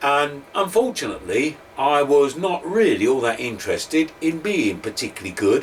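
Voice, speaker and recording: Over noticeable background noise, a man with an East London accent talks at a fairly slow pace. His pitch swings very widely. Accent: East End London. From London, East End; grew up just outside London. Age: 60s. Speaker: former teacher, educational speaker. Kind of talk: talk to camera, personal story.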